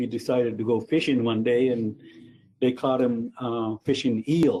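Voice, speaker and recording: A man speaks at medium pitch in a dark, mellow tone. His intonation is monotone and flat, and his pace is fairly slow. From New Brunswick, Canada (Mi'kmaq reserve). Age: 70s. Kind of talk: lecture. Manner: halting, many fillers and repeats.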